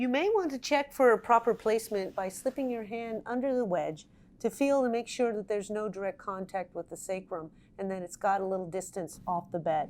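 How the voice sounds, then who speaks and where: A woman talks at a fairly quick pace with a fairly high pitch. She has a plain, everyday voice with ordinary pitch variation. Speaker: nurse and product inventor / company founder. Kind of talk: product infomercial explanation. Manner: clear, instructional.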